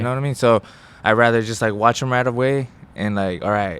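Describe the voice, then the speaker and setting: At a fairly quick pace, a man speaks in an unremarkable speaking voice with fairly even intonation. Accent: American. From Rio Grande Valley, Texas. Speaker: professional mixed martial artist. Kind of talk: interview answer. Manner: casual, loose.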